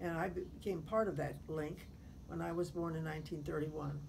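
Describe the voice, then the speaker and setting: The woman speaks at a fairly slow pace. Room echo is audible. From US Midwest, Effingham, Illinois. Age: 80s+. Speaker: retired teacher. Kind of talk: oral history interview. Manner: formal.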